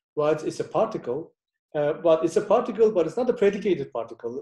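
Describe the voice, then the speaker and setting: A man with a Turkish accent and a dark, mellow tone speaks at a high pitch and moderate pace with lively intonation. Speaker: professor. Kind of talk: lecture. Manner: halting.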